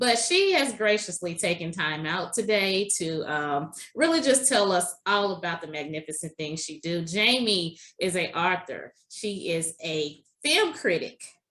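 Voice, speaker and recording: A woman speaks at a medium pitch with a slight Southern US accent. Her tone is bright and sharp, and her intonation is lively. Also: fairly slow pace. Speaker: podcast host. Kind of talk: interview podcast.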